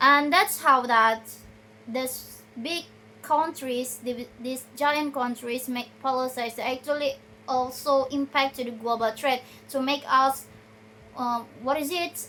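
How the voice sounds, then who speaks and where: Very slowly, a woman speaks in a raised, projected voice with a bright, sharp tone. Her pitch is high and her intonation fairly even. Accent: Indonesian. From Indonesia. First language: Indonesian. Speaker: video blogger. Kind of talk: research summary talk. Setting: recorded at night on a tripod. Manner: halting, with many self-corrections.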